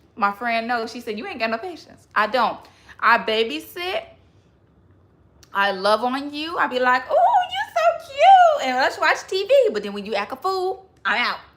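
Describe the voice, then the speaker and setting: A woman with a high voice speaks at a moderate pace in an animated tone, her pitch swinging very widely and her loudness rising and falling sharply over noticeable background noise. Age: 20s. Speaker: livestreamer. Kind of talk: casual livestream chat.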